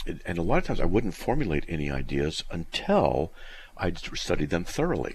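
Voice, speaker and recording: With lively intonation and some vocal fry, a man talks at a moderate pace. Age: 60s. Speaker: radio host. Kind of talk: call-in radio Q&A. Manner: halting, many fillers.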